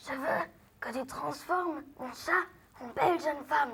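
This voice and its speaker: A raspy, high-pitched, put-on character voice. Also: moderate pace. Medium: stage play. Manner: curt, stubborn.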